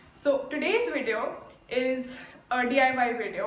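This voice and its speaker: A woman with a high-pitched voice speaks over noticeable background noise, with audible echo from the room. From India. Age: young. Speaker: DIY YouTuber. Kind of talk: tutorial.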